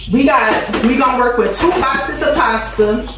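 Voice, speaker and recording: Noticeable background noise and audible room echo surround a woman as she speaks. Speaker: cooking vlogger. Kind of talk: casual vlog chat. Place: kitchen.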